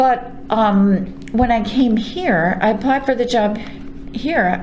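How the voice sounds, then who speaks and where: A woman with a Brooklyn accent speaks very slowly at a fairly high pitch, with audible room echo and noticeable background noise. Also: very even loudness. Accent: New York, Brooklyn-like. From New York. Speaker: retiring librarian. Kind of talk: oral history interview. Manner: halting with fillers.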